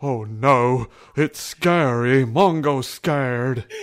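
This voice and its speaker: Using a put-on character voice, a man talks at a very slow pace with a medium pitch. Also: quiet background. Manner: scared, simple-minded.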